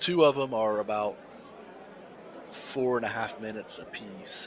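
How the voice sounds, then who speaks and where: An American accent at a moderate pace with ordinary pitch variation, crowd noise in the background. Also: man. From US South. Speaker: podcast co-host. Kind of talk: casual chat. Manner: halting, many repeated words.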